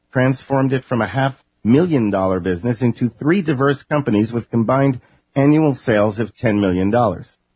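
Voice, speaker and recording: This man speaks with an American accent at a fairly quick pace. His medium-pitched voice is somewhat breathy, with ordinary pitch variation. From New York. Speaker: broadcaster, interviewer. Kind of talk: scripted introduction; interview.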